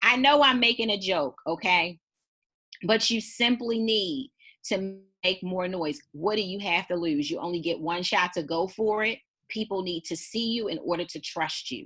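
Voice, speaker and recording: A woman speaks with medium pitch and a bright, sharp tone. Her tone is animated and her intonation lively. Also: moderate pace. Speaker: business coach. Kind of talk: motivational talk. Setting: video call.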